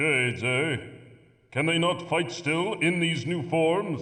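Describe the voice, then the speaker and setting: A man's put-on character voice, fairly high in pitch, at a fairly slow pace, with very even loudness, ordinary pitch variation and audible echo. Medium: video game. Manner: authoritative, stern.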